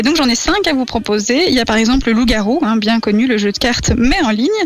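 A woman with a fairly high pitch talks at a very fast pace. Noticeable background noise runs behind her. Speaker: radio co-host. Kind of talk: casual radio show.

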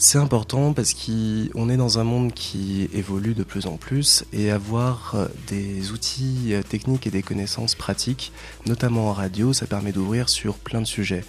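A man's fairly low, fairly even a normal speaking voice at a fairly slow pace. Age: 30s. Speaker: radio presenter and volunteer coordinator. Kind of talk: radio interview.

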